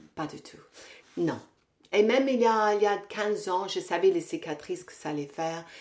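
Her intonation lively and her pitch medium, the woman speaks at a moderate pace with big swings in loudness and long, frequent pauses. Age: 60s. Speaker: Pilates teacher and fitness coach. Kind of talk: casual interview. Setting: at the guest's home. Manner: hesitant, many repetitions.

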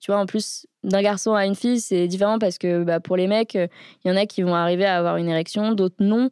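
In a dry, close recording with no echo, a woman with a plain, everyday voice speaks at a medium pitch and a fairly quick pace. Her intonation is fairly even and her loudness very even. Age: 30s. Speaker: wheelchair user and startup co-founder. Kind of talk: casual interview. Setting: studio.

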